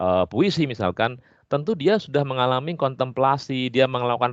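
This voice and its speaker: Against a quiet background, the speaker talks at a moderate pace in a strong Javanese accent. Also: man. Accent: strong Javanese accent (medok). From Java, Indonesia. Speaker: English literature lecturer. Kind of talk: podcast interview. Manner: hesitant fillers (eee).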